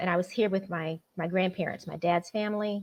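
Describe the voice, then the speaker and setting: A woman speaks with an American accent at a medium pitch. Her intonation is monotone and flat. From Florida. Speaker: novelist. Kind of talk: interview. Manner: casual, uses many fillers.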